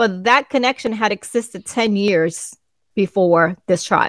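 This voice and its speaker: Over a quiet background, the speaker talks with a Spanish accent and ordinary pitch variation. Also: woman. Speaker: co-host. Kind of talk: casual podcast chat.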